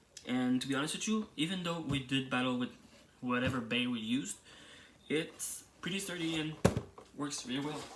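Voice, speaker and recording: A man with a fairly high pitch, ordinary pitch variation and a moderate pace, broken by long, frequent pauses, against noticeable background noise. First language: French. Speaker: toy reviewer YouTuber. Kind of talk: product review. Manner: hesitant, with fillers.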